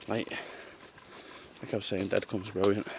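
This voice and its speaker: Over noticeable background noise, a man with a Scottish accent talks at a fairly low pitch with monotone, flat intonation. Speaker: urban explorer and video creator. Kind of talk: solo vlog narration while exploring. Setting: outdoors in woods. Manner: quiet.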